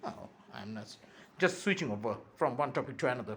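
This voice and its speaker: Here a man speaks with a Bengali accent. His tone is animated. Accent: Indian (Bengali) English. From India (Bengal). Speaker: YouTuber. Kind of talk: impassioned monologue.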